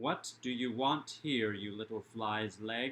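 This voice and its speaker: A booming, put-on character voice at a fairly slow pace. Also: man. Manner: scornful, mocking.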